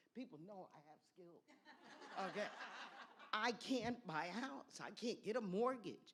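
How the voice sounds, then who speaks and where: A woman speaks with a fairly high pitch and some vocal fry. Her pace is fairly slow and her intonation lively. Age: 70s. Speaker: professor, audience questioner. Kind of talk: audience question. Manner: emphatic.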